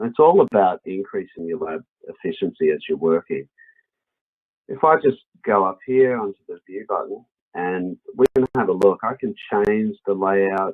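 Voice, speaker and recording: With an Australian accent, a man talks at a moderate rate. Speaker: software product specialist. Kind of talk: webinar software demo. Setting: online webinar.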